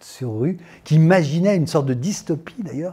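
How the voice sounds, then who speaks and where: The man's voice has a dark, mellow tone and sounds somewhat breathy. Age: 60s. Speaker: actor and climate activist. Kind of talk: interview testimony. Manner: hesitant, many fillers.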